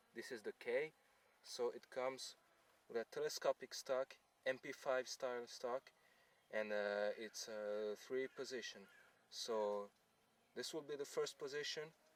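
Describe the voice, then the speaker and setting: A man with a non-native accent speaks quietly at a fairly slow pace, leaving long, frequent pauses. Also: dry sound with no echo. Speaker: airsoft gun reviewer. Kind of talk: product review talk to camera. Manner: quiet, hesitant with fillers. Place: open country.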